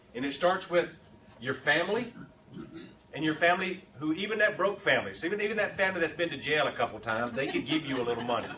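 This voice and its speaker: A man talks at a very fast pace with an American accent, his tone animated and his intonation lively, with audible room echo around him. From Texas. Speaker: political consultant. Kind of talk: conference talk. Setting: stage with audience.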